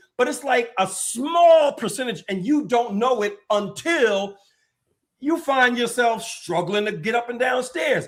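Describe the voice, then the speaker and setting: A man talks at an extremely high pitch in an animated tone. His intonation is lively and his pace fairly slow. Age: 60s. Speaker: health and fitness expert. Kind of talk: podcast interview.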